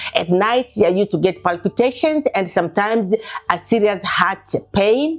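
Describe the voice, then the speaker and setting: A woman speaks at a moderate pace, her fairly high voice full of lively intonation. Background noise is noticeable. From Tanzania, Dar es Salaam. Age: 60s. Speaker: patient. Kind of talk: testimony.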